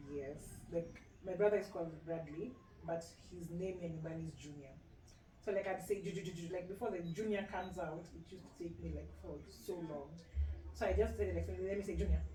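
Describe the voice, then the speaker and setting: In a Kenyan accent, the speaker talks at a fairly quick pace, with audible room echo and noticeable background noise. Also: woman. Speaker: medical doctor. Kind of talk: casual chat. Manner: fast.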